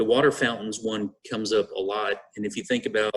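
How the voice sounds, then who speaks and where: In a Texan accent, a man speaks at a fairly quick pace and a medium pitch. The sound is dry and close, with no echo. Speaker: school district administrator. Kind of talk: board meeting presentation. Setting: video conference.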